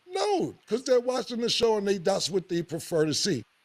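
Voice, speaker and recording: A man's plain, everyday voice, fairly quick in pace, with lively intonation. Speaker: talk show host. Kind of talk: casual chat.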